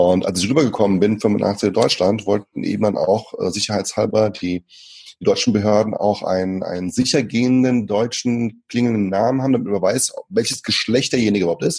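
A man's calm, fairly low voice at a fairly quick pace, with fairly even intonation. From Germany, moved from Brazil at age five. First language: Portuguese (speaking German). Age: 30s. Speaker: speaker and trainer. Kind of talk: interview.

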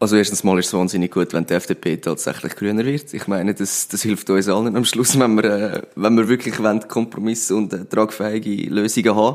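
With hardly any pauses, a man with a normal speaking voice moves at a fairly quick pace, his fairly low pitch carried by fairly even intonation. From Switzerland, Zurich Oberland. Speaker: political candidate. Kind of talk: interview.

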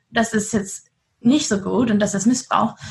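This woman's voice has a somewhat breathy quality. Her pitch is medium. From Germany. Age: 20s. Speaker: trafficking survivor and activist. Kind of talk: interview. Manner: lively, upbeat.

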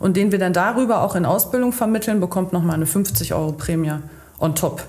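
Noticeable background noise and audible room echo around a woman speaking at a moderate pace in a medium pitch. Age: 30s. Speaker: chamber of commerce training advisor. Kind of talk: casual chat.

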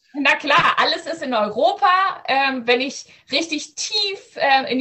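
With a high pitch and lively intonation, a woman is talking. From Southern Schleswig, Germany (Danish minority). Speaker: ed-tech startup founder, AI researcher. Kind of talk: video podcast interview. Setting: video call from home.

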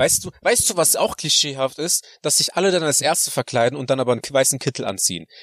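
A fairly high-pitched man talks at a very fast pace with hardly any pauses and lively intonation, in a dry, close sound with no echo but noticeable background noise. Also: very even loudness. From Germany (moved there 1993 as a child). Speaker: podcast co-host. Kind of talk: casual chat. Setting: in a parked car.

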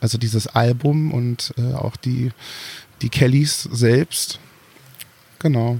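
A man at medium pitch, very slow with long, frequent pauses and fairly even intonation, dry, close sound with no echo, noticeable background noise. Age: 30s. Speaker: singer and former drag performer. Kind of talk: interview.

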